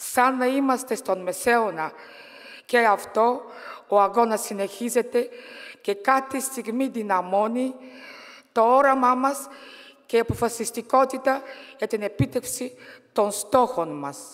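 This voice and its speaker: Against a quiet background, a woman with a Bulgarian accent speaks at a high pitch and fairly slow pace, with ordinary pitch variation and long, frequent pauses. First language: Bulgarian (speaking Greek). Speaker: politician and trade unionist; politician. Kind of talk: political speech. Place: hall. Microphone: podium.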